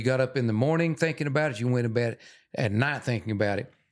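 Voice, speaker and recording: A man talks with a Texan accent. His pace is very fast. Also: very clean recording, silent background. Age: 70s. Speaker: wildlife photographer and former trapper. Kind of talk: casual interview chat.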